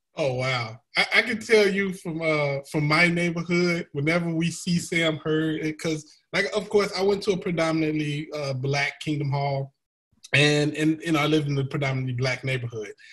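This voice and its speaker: At a moderate pace and with ordinary pitch variation, a speaker with an American accent talks over faint background music. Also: man, fairly high pitch for a man. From United States. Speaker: comedian and YouTuber; comedian, YouTuber. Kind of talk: casual panel discussion. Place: home room. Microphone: video call.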